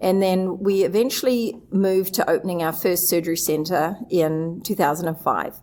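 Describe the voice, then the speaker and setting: Someone with a New Zealand accent speaks with very even loudness and fairly even intonation. Noticeable background noise is audible. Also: woman, medium pitch for a woman, moderate pace, hardly any pauses. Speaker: surgery center administrator, association executive director. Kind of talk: interview. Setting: live at a conference.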